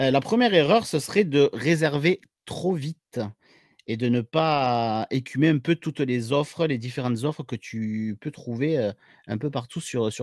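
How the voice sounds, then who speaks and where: A man with a southern French accent, fairly high in pitch with ordinary pitch variation and a fairly slow pace, recorded very clean and dry, close, with no echo or background sound. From southern France. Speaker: paramedic and YouTuber. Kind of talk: podcast interview. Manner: hesitant, many fillers.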